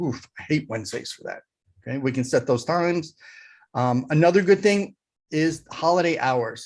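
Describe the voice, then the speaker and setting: Against a quiet background, a man with a normal speaking voice talks at a fairly high pitch with ordinary pitch variation. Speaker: digital marketing consultant. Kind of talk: tutorial with screen share.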